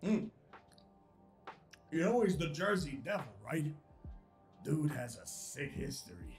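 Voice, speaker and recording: Clear music plays behind a man using a put-on character voice, raspy and fairly high in pitch. He talks at a fairly slow pace with long, frequent pauses, lively intonation and big swings in loudness. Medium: audio drama. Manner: loud, boisterous.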